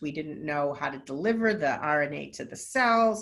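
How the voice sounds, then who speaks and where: A woman speaks with an American accent and lively intonation. Room echo is audible. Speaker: nonprofit executive director and scientist. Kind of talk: webinar lecture. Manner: fast.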